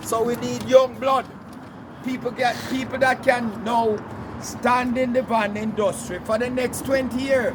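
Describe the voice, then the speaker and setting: With a Jamaican accent, the speaker goes at a fairly slow pace in a monotone, flat delivery over noticeable background noise. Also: man, extremely high pitch for a man. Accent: Caribbean (Jamaican) English. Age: 70s. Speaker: commuter van operator. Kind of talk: casual chat.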